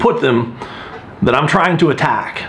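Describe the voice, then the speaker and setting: A man's high voice amid noticeable background noise and audible room echo. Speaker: strength coach vlogger. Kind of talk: casual vlog monologue. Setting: gym. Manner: soft-spoken.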